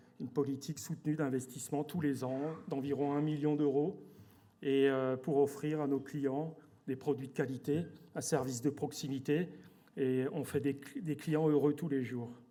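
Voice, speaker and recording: With a dark, mellow tone and a fairly high pitch, a man speaks at a fairly slow pace in a monotone, flat delivery. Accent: Alsatian. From Alsace, France. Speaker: company director. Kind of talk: corporate presentation. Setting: stage with audience at awards evening. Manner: hesitant, many fillers and repetitions.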